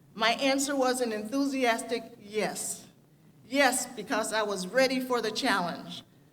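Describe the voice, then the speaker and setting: There is noticeable background noise behind this woman with an American accent. Her pitch is fairly high with ordinary variation. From US Midwest, Gary, Indiana. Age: 70s. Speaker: graduating student speaker. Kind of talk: commencement speech.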